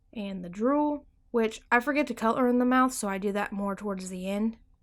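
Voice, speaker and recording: A woman with a normal speaking voice and ordinary pitch variation, on a very clean recording with a silent background. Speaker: art tutorial YouTuber. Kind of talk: tutorial. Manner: casual.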